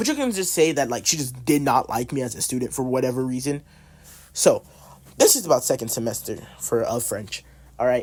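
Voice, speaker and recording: A man speaks in an animated tone with lively intonation. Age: about 18. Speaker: artist telling school stories. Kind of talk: casual storytelling. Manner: loud, talkative.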